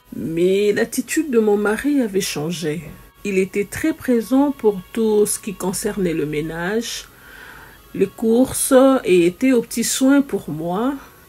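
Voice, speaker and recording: Over music in the background, a woman with a fairly high pitch talks at a very slow pace, her pitch swinging very widely. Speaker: story time host. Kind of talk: first-person testimony narration.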